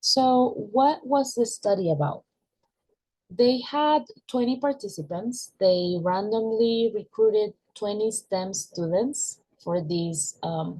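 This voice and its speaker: Woman with a Venezuelan accent, fairly high pitch, dark, mellow tone, somewhat breathy, lively intonation and a very slow pace. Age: 20s. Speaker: university student. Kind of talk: class presentation.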